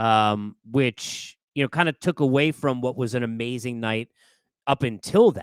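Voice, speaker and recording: A man speaks at a fairly slow pace and a medium pitch, recorded very cleanly against a silent background with a dry, close sound and no echo. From New York. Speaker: sports podcast host. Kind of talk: casual monologue. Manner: animated.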